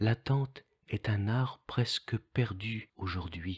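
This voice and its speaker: Somewhat breathy and very slow, the voice shows ordinary pitch variation in a dry, close sound with no echo. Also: man. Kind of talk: devotional text reading.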